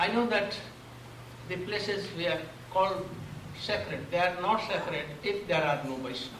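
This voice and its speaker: A high-pitched man with an Indian accent, long, frequent pauses, noticeable background noise and audible room echo. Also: ordinary pitch variation, moderate pace. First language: Hindi or Bengali. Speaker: spiritual teacher. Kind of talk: religious discourse. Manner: halting.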